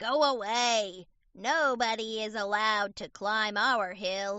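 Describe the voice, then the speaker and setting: A woman's put-on character voice, fairly high in pitch, at a fairly slow pace with fairly even intonation. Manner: hostile, commanding.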